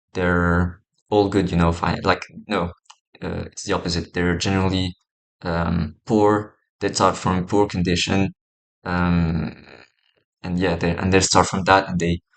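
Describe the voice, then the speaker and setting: Over a quiet background, a man with a very deep, low voice speaks at a fairly slow pace in a monotone, flat intonation, with long, frequent pauses. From Morocco. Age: 20s. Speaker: vlogger. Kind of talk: personal vlog monologue. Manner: hesitant, many fillers.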